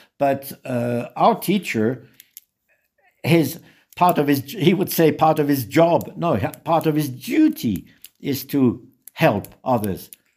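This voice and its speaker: A man with a French accent speaks at a very slow pace. His pitch is fairly high. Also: lively intonation. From Switzerland, French-speaking. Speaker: social worker and retreat center founder. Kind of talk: interview.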